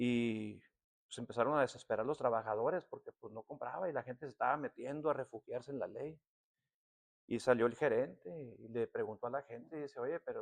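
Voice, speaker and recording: A man talks at a very fast pace, recorded with a dry, close sound and no echo. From Tecate, Baja California, Mexico. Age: 60s. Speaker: pastor. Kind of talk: sermon. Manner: conversational, with filler words.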